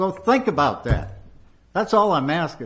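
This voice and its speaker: Amid audible room echo, a man with an American accent and vocal fry speaks at a fairly slow pace, his pitch swinging very widely. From Maine, US (Lewiston). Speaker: resident speaking at city council meeting. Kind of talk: public comment at council meeting. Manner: animated.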